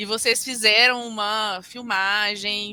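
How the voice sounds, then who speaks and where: A woman speaks with a Minas Gerais accent at a medium pitch, with music in the background. Her pitch varies in an ordinary way. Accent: mineiro accent, noticeable. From Brazil, Minas Gerais (Belo Horizonte). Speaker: tax lawyer and law firm partner. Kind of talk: interview.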